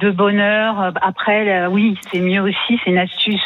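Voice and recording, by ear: Speaking at a moderate pace, a woman uses a medium pitch and fairly even intonation.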